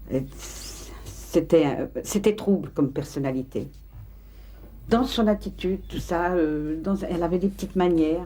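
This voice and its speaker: Over noticeable background noise, a woman with a fairly low pitch and ordinary pitch variation talks at a fairly slow pace, taking long, frequent pauses. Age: 60s. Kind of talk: documentary interview. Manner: halting.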